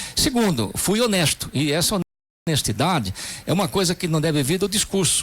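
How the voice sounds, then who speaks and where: A man is speaking. His pace is moderate. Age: 60s. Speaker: politician. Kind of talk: radio interview.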